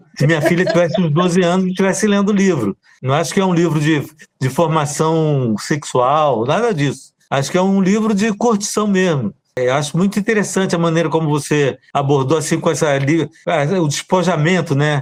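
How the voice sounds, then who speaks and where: The man's pitch is high, and his pace is moderate. His pitch varies in an ordinary way while his loudness stays very even. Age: 60s. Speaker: poet. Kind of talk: casual chat.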